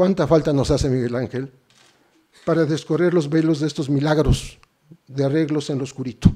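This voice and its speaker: A man's fairly high voice with a dark, mellow tone, fairly even intonation, a moderate pace and long, frequent pauses. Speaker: journalist. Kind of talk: formal lecture.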